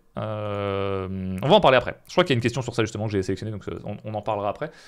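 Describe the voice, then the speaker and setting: Recorded very cleanly with a silent background, a man speaks at a very fast pace, his fairly low pitch showing ordinary pitch variation. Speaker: streamer. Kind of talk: live stream Q&A. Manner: casual, hesitant with many fillers.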